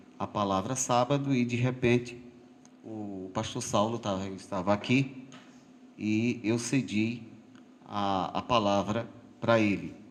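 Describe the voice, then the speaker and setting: A man's fairly low voice with fairly even intonation, amid audible room echo. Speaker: lay preacher. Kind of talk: sermon. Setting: church. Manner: halting.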